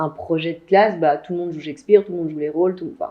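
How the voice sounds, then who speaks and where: A woman talks in a plain, everyday voice, fairly low for a woman. Her pitch varies in an ordinary way. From Belgium and Martinique. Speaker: actress, singer, stage director, voice-over artist. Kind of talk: interview answer.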